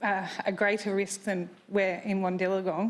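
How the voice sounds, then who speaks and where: Her medium pitch held in a flat monotone, a woman speaks. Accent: Australian. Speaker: resident asking a question at a council meeting. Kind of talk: public question at council meeting. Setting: council chamber with public gallery. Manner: loud.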